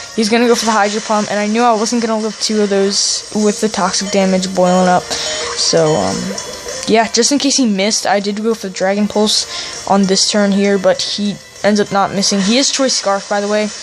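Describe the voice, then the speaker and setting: Speech moves at a fairly quick pace with music playing in the background. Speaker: gaming YouTuber. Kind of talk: gameplay commentary.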